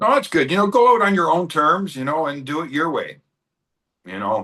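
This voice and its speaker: A man's high voice in a Canadian accent, bright and sharp in tone, with very wide pitch swings at a moderate pace. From Canada. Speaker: metal interviewer. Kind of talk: interview.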